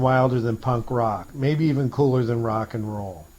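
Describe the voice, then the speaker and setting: At a moderate pace, a man talks in a medium pitch with a normal speaking voice. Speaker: radio host. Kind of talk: pirate radio broadcast. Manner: playful, hip.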